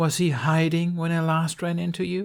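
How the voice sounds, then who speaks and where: In a put-on character voice, the speaker keeps a monotone, flat intonation at a moderate pace. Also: man. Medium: read story. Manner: cool, light, controlled.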